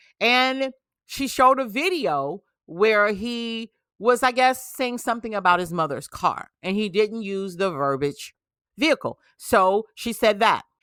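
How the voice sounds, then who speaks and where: On a very clean recording with a silent background and a dry, close sound with no echo, a woman with a plain, everyday voice speaks at a fairly slow pace with lively intonation and a fairly high pitch. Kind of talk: political commentary. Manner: casual, conversational.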